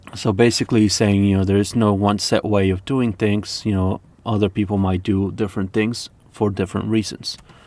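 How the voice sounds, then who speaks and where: Speaking at a fairly quick pace with a non-native accent, a man keeps his loudness very even and his intonation monotone and flat. His pitch is fairly low and his tone dark and mellow. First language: not English. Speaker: lute player and music teacher. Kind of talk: reading aloud with commentary. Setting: live stream.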